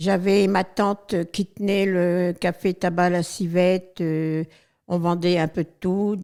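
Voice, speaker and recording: The voice is dark and mellow, monotone with flat intonation. It moves at a very slow pace on a very clean recording with a silent background. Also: woman. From northern France, Abbeville (Picardy). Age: 70s. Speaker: retired charity volunteer. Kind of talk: interview testimony. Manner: hesitant, many fillers.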